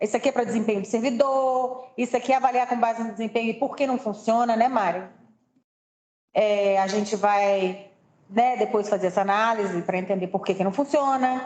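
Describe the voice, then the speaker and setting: This woman has a normal speaking voice with fairly high pitch and fairly even intonation. She talks at a moderate pace. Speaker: presenter at staff training session. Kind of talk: presentation.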